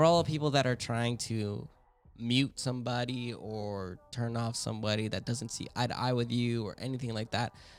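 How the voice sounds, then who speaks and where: A man talks at a moderate pace, his medium-pitched voice keeping a fairly even intonation. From US, Filipino-American family. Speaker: podcast host. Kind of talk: casual chat. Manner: loud.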